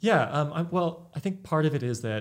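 The recording is very clean with a silent background as a man speaks with an American accent and lively intonation. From Northern California, Sacramento. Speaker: microbiologist. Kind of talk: casual interview.

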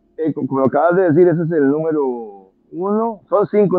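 A man talks at a moderate pace in a normal speaking voice with lively intonation. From Costa Rica. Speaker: musician and music educator. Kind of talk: interview conversation.

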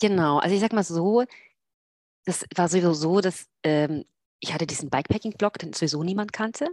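At a fairly quick pace broken by long, frequent pauses, a woman speaks at a fairly low pitch with ordinary pitch variation, the sound dry and close with no echo. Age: 40s. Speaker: long-distance cyclist and blogger. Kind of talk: casual interview. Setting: video call from home office.

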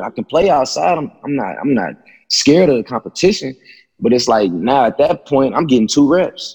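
A man with a fairly high pitch speaks at a fairly quick pace, with vocal fry. His pitch swings very widely. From Abilene, Texas. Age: 20s. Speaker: former football player. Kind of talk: casual chat.

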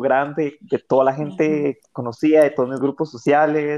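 The speaker has a Costa Rican accent, with a quiet background. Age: 30s. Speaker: podcast co-host. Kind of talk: casual chat.

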